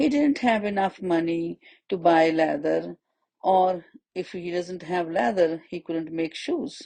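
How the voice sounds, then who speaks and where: A woman speaks at a very slow pace. Her voice is fairly low-pitched with a dark, mellow tone. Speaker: storyteller for children. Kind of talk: children's story narration.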